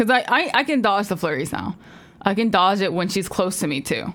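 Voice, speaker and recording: The voice has lively intonation and vocal fry. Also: woman. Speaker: streamer and podcast co-host. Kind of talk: casual chat.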